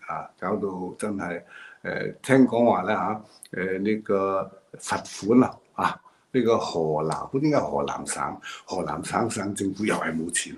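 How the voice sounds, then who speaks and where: At a fairly slow pace, a man with a Hong Kong accent speaks in a fairly low pitch with ordinary pitch variation. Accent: Hong Kong Cantonese. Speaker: political commentator. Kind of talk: monologue commentary. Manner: halting, many fillers. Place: home room. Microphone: video call.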